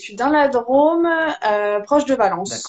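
A woman speaks with lively intonation. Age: 20s. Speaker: energy healer. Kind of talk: casual interview. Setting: video call.

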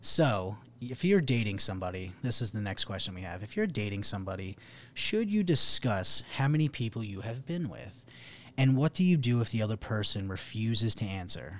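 Lively in intonation, a man with a normal speaking voice talks at a fairly quick pace and medium pitch. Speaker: podcast host. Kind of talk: casual podcast chat.

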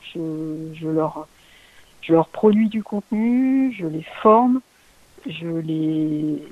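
A woman's fairly low pitch shows ordinary variation. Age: 40s. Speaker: LinkedIn community manager and content strategist. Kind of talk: interview. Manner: halting, many fillers and repetitions.

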